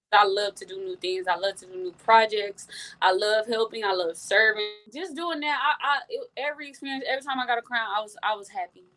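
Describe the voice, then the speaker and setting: A woman's fairly high, animated voice with lively intonation and big swings in loudness, fairly quick, over background music. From Texas, Houston. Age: 20s. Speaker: college dancer and pageant winner. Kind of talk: interview. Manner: fast.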